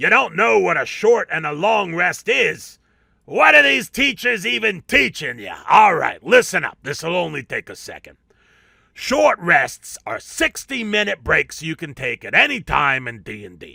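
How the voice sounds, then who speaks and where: A man puts on a character voice, raised and projected at a high pitch, at a moderate pace. The recording is very clean, with a silent background. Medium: solo performance. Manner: brash, street-talking.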